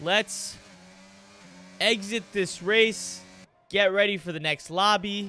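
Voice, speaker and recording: A raised, projected voice with a bright, sharp tone moves at a very slow pace with long, frequent pauses. Its intonation stays fairly even. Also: man, high pitch for a man. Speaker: esports race commentator. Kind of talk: live commentary. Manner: casual, conversational.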